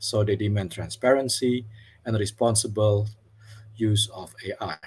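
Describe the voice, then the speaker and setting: A man speaks at a moderate pace in a fairly low, somewhat breathy voice. His intonation stays fairly even while his loudness swings widely. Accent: non-native. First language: not English. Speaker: academic program representative, webinar moderator. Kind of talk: formal opening remarks for webinar. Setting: online webinar. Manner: formal.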